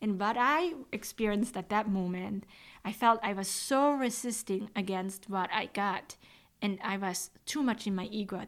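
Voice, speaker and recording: Someone with a Swiss accent speaks at a moderate pace with ordinary pitch variation on a very clean recording with a silent background. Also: woman. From Switzerland. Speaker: medium and podcast host. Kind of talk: casual podcast talk.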